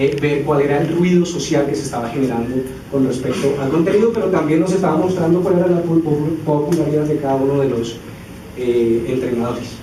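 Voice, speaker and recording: With noticeable background noise and audible room echo, a man speaks fairly quickly at a fairly high pitch with ordinary pitch variation. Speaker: social media editor, conference speaker. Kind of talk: conference talk. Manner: fast; hesitant, many fillers.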